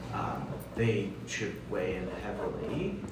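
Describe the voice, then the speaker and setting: A man puts on a character voice, pitched fairly low and delivered at a fairly slow pace. Loud background noise and a clear echo surround him. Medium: actual play. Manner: hesitant, measured, full of pauses.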